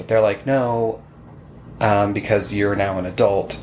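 Here a man speaks with an American accent and a fairly low pitch. His pitch varies in an ordinary way, and there is noticeable background noise. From Utah. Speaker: podcast host. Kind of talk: casual chat.

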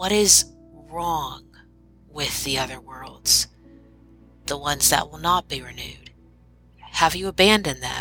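A woman puts on a raspy character voice with a very deep, low pitch and big swings in loudness. She goes at a moderate pace with long, frequent pauses, faint music in the background. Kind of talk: gentle storytelling reading. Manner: eager then hesitant, curious.

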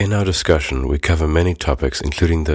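A man with a very deep, low pitch and a somewhat breathy voice speaks at a fairly quick pace on a very clean recording with a silent background. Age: 20s. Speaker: podcast host. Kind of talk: scripted narration.

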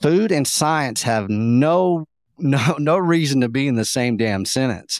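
Recorded very cleanly against a silent background, the sound is dry and close with no echo. A man in a Texan accent speaks fairly slowly with lively intonation. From Texas, Llano Estacado (West Texas). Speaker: beef advocate and food researcher. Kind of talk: podcast interview. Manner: animated.

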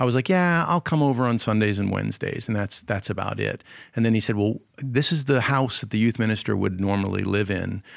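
An unremarkable speaking voice with an American accent talks at a fairly quick pace with hardly any pauses and ordinary pitch variation, on a very clean recording with a silent background. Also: man, medium pitch for a man. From Connecticut. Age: 50s. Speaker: youth minister. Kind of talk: interview.

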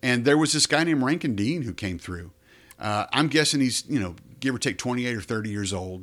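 In a plain, everyday voice, a man speaks at a fairly quick pace with a medium pitch and lively intonation. The recording is very clean, with a silent background. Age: 50s. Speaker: theater executive director, former news anchor. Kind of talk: interview.

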